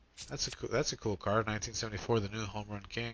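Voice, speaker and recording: Bright, sharp tone from a man at a medium pitch. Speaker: gaming streamer. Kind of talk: live gameplay commentary.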